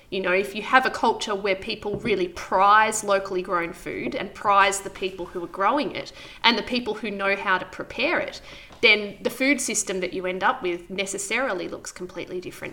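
With an Australian accent, a woman speaks at a medium pitch with ordinary pitch variation over noticeable background noise. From Victoria, Australia (Wangaratta). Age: 30s. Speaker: market gardener and former cafe owner. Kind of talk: interview.

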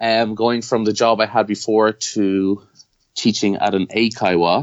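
Speaking in an Irish accent, a man talks at a moderate pace and a medium pitch. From Ireland. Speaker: self-employed mover and T-shirt entrepreneur. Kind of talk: interview.

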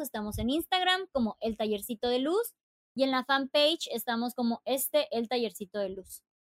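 The recording sounds dry and close with no echo. A woman with a high pitch talks at a moderate pace in an animated tone. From Mexico, Chiapas. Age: 30s. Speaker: travel influencer and author. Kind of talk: interview conversation.

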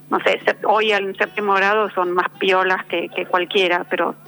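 A woman's flat, monotone delivery in a Rioplatense accent, over noticeable background noise. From Argentina. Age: 50. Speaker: novelist. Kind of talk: interview. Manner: halting.

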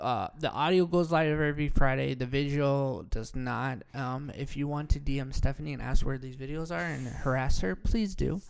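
A man with an unremarkable speaking voice talks at a moderate pace with hardly any pauses, his fairly high pitch showing ordinary variation. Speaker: podcast co-host, coffee shop owner. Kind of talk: casual chat.

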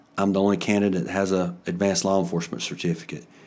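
A man is speaking. He talks with a North Carolina accent. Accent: Southern US (North Carolina). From North Carolina, Alexander County. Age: 50s. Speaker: sheriff candidate, police officer. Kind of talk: interview.

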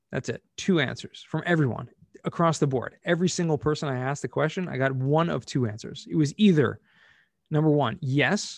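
A man with a normal speaking voice and an American accent, fairly high in pitch with ordinary pitch variation, at a fairly quick pace, in dry, close sound with no echo and a quiet background. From US, Southern California. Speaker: cost segregation specialist. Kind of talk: interview.

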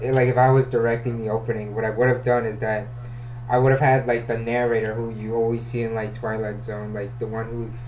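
Amid noticeable background noise and audible room echo, a man speaks at a medium pitch in a monotone, flat delivery. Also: fairly quick pace. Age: 20s. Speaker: podcast host. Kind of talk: casual film discussion.

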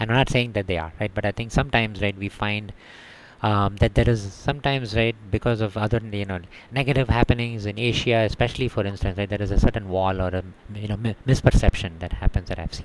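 Speaking at a very fast pace with an Indian accent, a man uses a fairly low pitch and fairly even intonation. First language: Tamil. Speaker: city energy manager. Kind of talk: casual interview.

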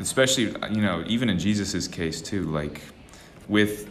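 Audible room echo follows the voice, which keeps a moderate pace and ordinary pitch variation. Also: man. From Texas, Austin. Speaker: traveling evangelist. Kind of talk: casual chat.

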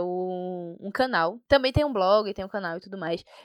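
A woman uses an ordinary speaking voice at medium pitch, with ordinary pitch variation and a moderate pace. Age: 20s. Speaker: software developer. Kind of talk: interview.

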